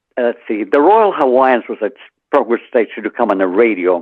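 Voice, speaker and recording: A man with an American accent and a medium pitch talks at a very fast pace. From Central New Mexico, later Richmond, California. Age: 80s+. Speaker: author, retired musician. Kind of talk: radio interview answer.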